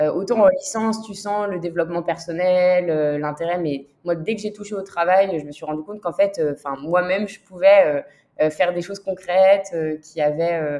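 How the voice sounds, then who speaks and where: A woman's normal speaking voice, fairly low in pitch, at a moderate pace with fairly even intonation. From southern France, Toulon. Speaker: finance executive. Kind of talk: interview.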